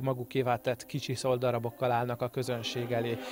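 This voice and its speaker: This man has a normal speaking voice at a medium pitch. He talks at a fairly quick pace. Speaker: local TV culture show presenter. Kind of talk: TV magazine narration. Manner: formal.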